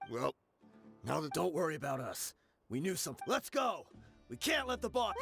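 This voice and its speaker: A man puts on a raspy character voice, pitched high, at a fairly quick pace. Faint music plays in the background. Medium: video game. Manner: brisk, confident.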